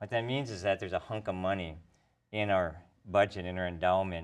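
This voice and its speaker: In a Minnesotan accent, a man speaks at a moderate pace with a very deep, low pitch and ordinary pitch variation, the background quiet. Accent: Minnesota. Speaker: professor. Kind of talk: tv interview.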